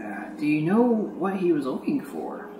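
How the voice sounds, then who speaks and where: A put-on character voice at a middle pitch and moderate pace is heard over clear background noise. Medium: actual play.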